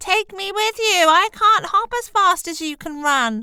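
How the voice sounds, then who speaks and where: A woman's squeaky, put-on character voice at an extremely high pitch and a moderate pace. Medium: read story. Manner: insistent, wheedling.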